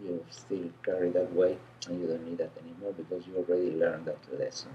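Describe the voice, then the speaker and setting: A man with an Argentine accent speaks over noticeable background noise. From Argentina. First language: Spanish. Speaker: energy healer. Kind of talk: casual interview.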